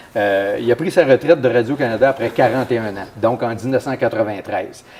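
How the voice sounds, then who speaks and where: Fairly quick speech with ordinary pitch variation and noticeable background noise. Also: man, medium pitch for a man. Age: 60s. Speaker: municipal councillor. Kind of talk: interview.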